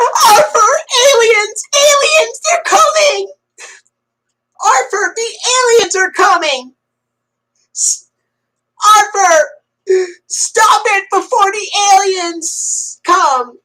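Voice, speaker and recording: A woman speaks in a put-on character voice. Her pitch is extremely high and her pace very slow. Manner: nervous, panicked, frantic.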